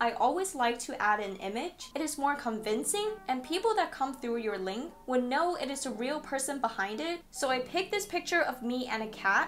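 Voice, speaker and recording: Over music in the background, a woman with a high pitch and lively intonation speaks at a moderate pace with hardly any pauses. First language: not English. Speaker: online business tutorial creator. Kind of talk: tutorial. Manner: casual, conversational.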